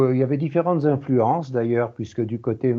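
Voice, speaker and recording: This voice belongs to a man. The pitch is medium. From France, Lyon. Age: 70s. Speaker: peace research institute president. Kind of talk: interview. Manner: halting.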